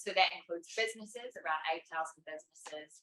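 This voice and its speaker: Fairly low in pitch, a woman with a New Zealand accent speaks in a bright, sharp tone. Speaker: climate campaign representative. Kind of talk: panel discussion.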